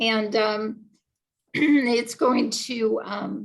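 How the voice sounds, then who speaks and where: A woman speaks with a fairly high pitch and ordinary pitch variation. Vocal fry runs through her voice. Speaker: agile coach and conference speaker. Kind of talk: conference talk. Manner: halting, many fillers.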